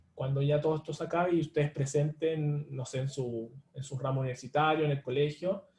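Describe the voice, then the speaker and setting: The speaker is a man with a fairly high pitch. His tone is dark and mellow and somewhat breathy. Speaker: online tutor. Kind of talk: live online lecture. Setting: livestream. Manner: fast; filler-heavy, with hesitations.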